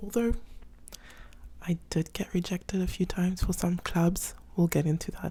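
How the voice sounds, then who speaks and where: A woman with a South African accent speaks quietly in a fairly low, somewhat breathy voice. Her tone is dark and mellow and her intonation fairly even. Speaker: vlogger. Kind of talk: casual vlog talk. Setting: apartment at night. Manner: quiet, hushed.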